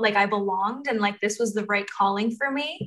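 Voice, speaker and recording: A woman's bright, sharp tone with fairly even intonation at a fairly quick pace. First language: Spanish. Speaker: undergraduate student panelist. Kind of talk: student panel talk. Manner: frequent 'um' fillers.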